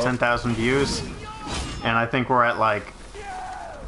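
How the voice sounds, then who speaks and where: A man speaks over noticeable background noise. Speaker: gaming video co-host. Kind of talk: casual gameplay chat.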